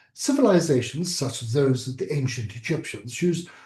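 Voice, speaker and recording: This man has a fairly high pitch and a dark, mellow tone, somewhat breathy, speaking at a moderate pace with audible room echo. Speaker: surgery teacher. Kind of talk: online lecture. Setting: video call.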